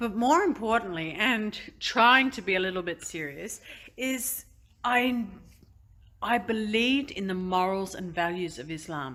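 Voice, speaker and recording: Her Australian accent carries a bright, sharp tone. The woman speaks at a fairly slow pace with lively intonation. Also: medium pitch for a woman, big swings in loudness, very clean recording, silent background. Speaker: convert sharing her story. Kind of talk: testimony. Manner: halting, many fillers.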